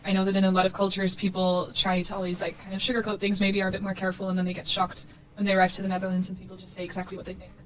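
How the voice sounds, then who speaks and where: A woman talks very fast at a medium pitch, barely pausing, her intonation flat and monotone. Her loudness swings widely, and there is noticeable background noise. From Portugal. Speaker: student association board member. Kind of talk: casual chat.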